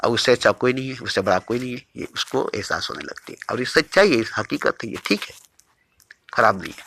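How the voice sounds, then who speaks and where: A man's voice with big swings in loudness, in a dry, close sound with no echo. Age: 60s. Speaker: spiritual teacher. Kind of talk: spiritual discourse. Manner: repetitive, emphatic.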